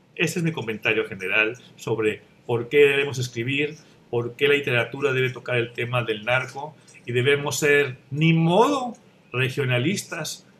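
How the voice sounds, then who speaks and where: Light background noise sits behind a man who speaks at a moderate pace with ordinary pitch variation. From Mexico. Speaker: writer; panelist. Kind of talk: panel discussion. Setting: video call. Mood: calm, reflective. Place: home room. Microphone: webcam.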